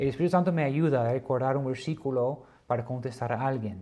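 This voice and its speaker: A man talks at a medium pitch with ordinary pitch variation. His tone is dark and mellow. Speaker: Bible teacher. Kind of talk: lecture. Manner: slow; hesitant.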